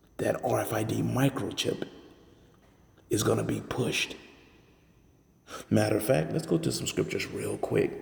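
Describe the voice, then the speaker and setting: A soft-spoken man talks at a moderate pace with long, frequent pauses. Noticeable background noise runs underneath. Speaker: religious commentator. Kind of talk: casual commentary. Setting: at work.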